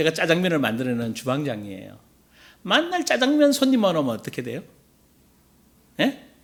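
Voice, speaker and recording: A man is talking. He moves at a fairly quick clip. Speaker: pastor. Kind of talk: sermon.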